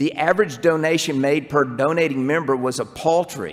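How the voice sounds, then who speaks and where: The speech comes in a Southern US accent. Its pitch varies in an ordinary way. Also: man. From US South. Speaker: urologist. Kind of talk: conference talk. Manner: animated.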